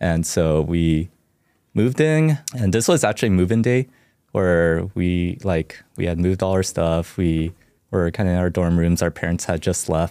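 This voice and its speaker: A man with a Californian accent speaks at a moderate pace in a very deep, low pitch, his tone dark and mellow, his pitch varying in an ordinary way and his loudness very even. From US West Coast, Orange County, California. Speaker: campus minister. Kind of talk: interview about faith journey. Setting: studio.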